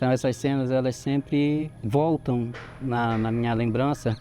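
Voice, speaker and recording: Music plays behind a man speaking at a fairly slow pace. His medium-pitched voice keeps a fairly even intonation. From Brazil, Santarém, Pará. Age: 40s. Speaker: local resident. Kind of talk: interview testimony.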